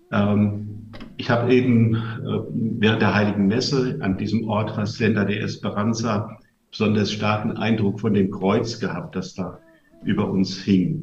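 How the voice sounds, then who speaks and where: Over noticeable background noise and audible room echo, a man with a fairly low pitch talks at a fairly slow pace with fairly even intonation. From western Germany (Westerwald). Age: 60s. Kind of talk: talk to a family gathering. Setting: live event with audience, broadcast on radio.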